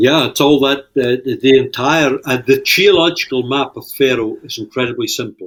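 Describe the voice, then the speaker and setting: With a Shetland accent, a man of fairly high pitch speaks at a moderate pace with hardly any pauses, fairly even intonation and big swings in loudness. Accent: Shetland Scottish. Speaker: fishing industry leader and author. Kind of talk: casual interview chat.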